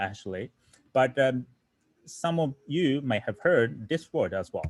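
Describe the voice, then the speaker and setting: With a Japanese accent, a man talks in a lively intonation. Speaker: coding teacher. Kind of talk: online lecture. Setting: online livestream. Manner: halting.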